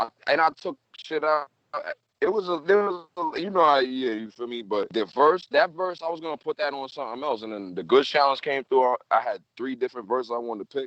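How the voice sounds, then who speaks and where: Using an ordinary speaking voice, a man with a fairly high pitch talks at a fairly quick pace with lively intonation, the sound dry and close with no echo. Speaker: rapper. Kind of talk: casual chat.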